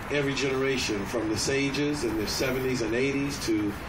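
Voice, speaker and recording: Noticeable background noise is audible. Through it, a man talks at a moderate speed. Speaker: pastor addressing a rally. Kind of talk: rally speech. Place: street. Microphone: camera far.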